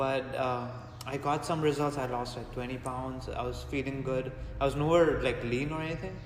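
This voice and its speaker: Amid noticeable background noise and audible room echo, a man speaks in a medium, monotone, flat voice at a moderate pace. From India (Mumbai). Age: 20s. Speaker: strength coach. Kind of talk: podcast interview.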